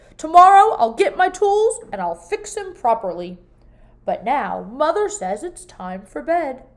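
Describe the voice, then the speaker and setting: In a put-on character voice, a woman speaks at an extremely high pitch. Her pitch swings very widely at a moderate pace. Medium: read story.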